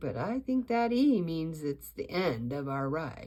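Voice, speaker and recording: Using a put-on character voice, a woman speaks at a fairly slow pace and fairly low pitch, with very wide pitch swings. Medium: read story.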